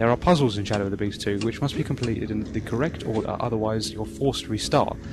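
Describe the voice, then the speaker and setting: Very fast delivery with ordinary pitch variation over noticeable background noise. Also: man, fairly low pitch for a man. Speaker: retro game reviewer. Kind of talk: video game review narration. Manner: some stuttering.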